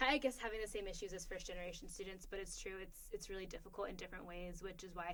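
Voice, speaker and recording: Amid audible room echo, a woman at a medium pitch talks with fairly even intonation. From immigrant, grew up partly abroad then US. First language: not English. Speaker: podcast co-host, graduate policy student. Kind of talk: casual conversation. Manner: hesitant, many filler ums.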